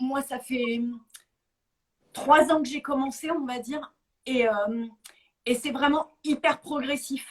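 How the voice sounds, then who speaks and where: A woman's high-pitched voice at a very slow pace. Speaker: guest with chronic illness. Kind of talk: testimony. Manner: halting, many hesitations.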